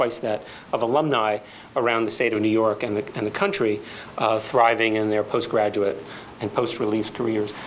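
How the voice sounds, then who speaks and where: Light background noise accompanies speech at a moderate pace. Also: man. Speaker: panel moderator. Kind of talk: public talk introduction. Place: hall.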